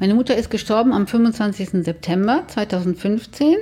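A woman's fairly slow delivery in an ordinary speaking voice, on a very clean recording with a silent background. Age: 60s. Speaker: bereaved daughter telling her story. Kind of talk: personal testimony interview.

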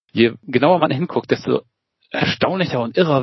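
Ordinary pitch variation and a moderate pace mark a man's talk in an unremarkable speaking voice. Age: 40s. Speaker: emergency physician. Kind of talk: interview.

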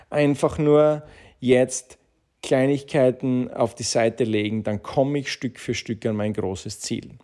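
A man's dark, mellow tone at a fairly slow pace, with ordinary pitch variation, on a very clean recording with a silent background. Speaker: podcast host and entrepreneur. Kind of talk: motivational talk. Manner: animated.

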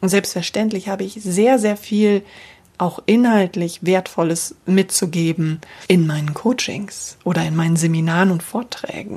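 In a normal speaking voice, a woman talks at a fairly slow pace. Her pitch is medium with ordinary pitch variation. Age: 40s. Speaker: voice and communication coach. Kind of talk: solo podcast monologue. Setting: home office.

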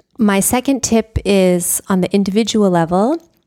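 A woman with an American accent and a dark, mellow tone, recorded very cleanly against a silent background with dry, close sound and no echo. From United States. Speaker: climate policy researcher. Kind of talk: interview.

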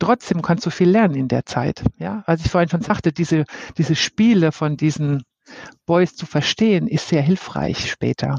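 A woman's ordinary speaking voice, fairly low in pitch, at a moderate pace with lively intonation. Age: 50s. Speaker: head of people development. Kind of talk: casual interview.

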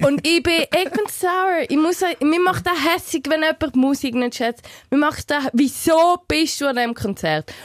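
A woman with a high pitch and an animated tone talks at a fairly slow pace with very even loudness, and the sound is dry and close, with no echo. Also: ordinary pitch variation. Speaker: podcast co-host. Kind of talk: casual chat.

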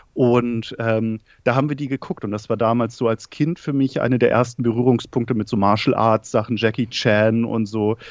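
A man with an ordinary speaking voice talks at medium pitch and a moderate pace, with fairly even intonation, hardly any pauses, and a dry, close sound with no echo. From northern Germany, Schleswig-Holstein. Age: 30s. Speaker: film content creator. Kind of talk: casual chat. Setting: remote call from living room.

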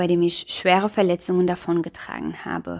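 A woman speaks at a moderate pace with a Luxembourgish accent. Her pitch sits in the medium range. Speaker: podcast host and educator. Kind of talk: solo podcast monologue.

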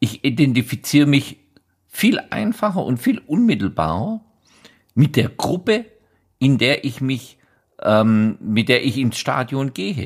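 At a fairly slow pace, a man speaks at a medium pitch with very wide pitch swings and long, frequent pauses. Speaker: football writer and blogger. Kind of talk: casual chat. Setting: remote call.

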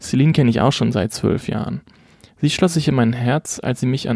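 A man's medium-pitched voice, dark and mellow, with ordinary pitch variation and a dry, close sound free of echo. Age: 20s. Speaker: podcast co-host. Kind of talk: scripted self-introduction.

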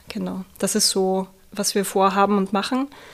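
A woman in a Viennese accent, medium in pitch, with fairly even intonation. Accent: Viennese Austrian German. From Austria, Vienna. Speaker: social worker, project coordinator. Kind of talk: interview.

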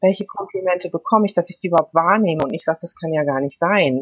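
A woman's somewhat breathy voice comes through with ordinary pitch variation and a dry, close sound with no echo. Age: 50s. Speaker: food coach and mental trainer. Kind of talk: casual interview.

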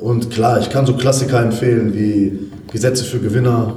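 In a room with audible echo and noticeable background noise, a man speaks at a moderate pace with a medium pitch and monotone, flat intonation. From Germany, Ruhr area (Essen). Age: 30s. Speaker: fitness coach. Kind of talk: interview.

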